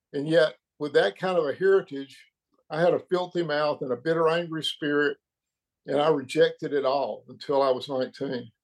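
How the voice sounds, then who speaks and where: Over a quiet background, a man with an American accent speaks in a normal speaking voice at a moderate pace, fairly high in pitch and with ordinary pitch variation. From Birmingham, Alabama, US South. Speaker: retired financial advisor. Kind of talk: testimony. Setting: video call.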